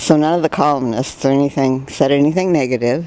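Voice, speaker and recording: With an American accent, a woman talks at a very deep, low pitch against noticeable background noise. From California, San Jose. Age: 70s. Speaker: retired dancer, widow of an actor. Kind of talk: interview.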